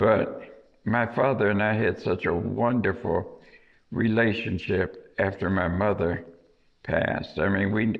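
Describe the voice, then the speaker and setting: With an American accent, a man speaks at a very slow pace in a fairly low pitch and fairly even intonation. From US Midwest, South Bend, Indiana. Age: 80s+. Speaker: local historian. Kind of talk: oral history interview. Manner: halting.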